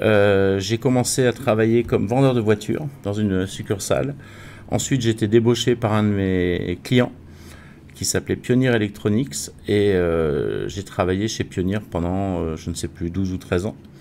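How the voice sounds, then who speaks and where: A man talks at a fairly slow pace with ordinary pitch variation. His voice is fairly low, with a dark, mellow tone. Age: 60s. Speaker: wealth management consultant. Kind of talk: interview.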